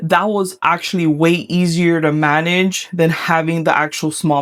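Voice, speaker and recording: A woman speaks in a fairly low pitch with a Miami accent. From Miami, Florida. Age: 30s. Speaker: vlogger. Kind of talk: casual vlog Q&A. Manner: animated.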